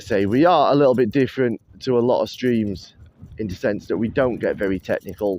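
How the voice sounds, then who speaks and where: At a fairly quick pace, a man talks in a Yorkshire accent. His pitch is medium, with ordinary variation. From northern England, Doncaster. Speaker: live-stream host, plane spotter. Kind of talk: casual live-stream chat. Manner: rambling, chatty.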